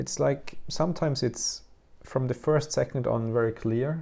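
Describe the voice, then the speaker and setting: Somewhat breathy male voice with a dark, mellow tone and a German accent. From Austria. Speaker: visual artist. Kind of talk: interview conversation. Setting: artist's studio. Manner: halting, many fillers and restarts.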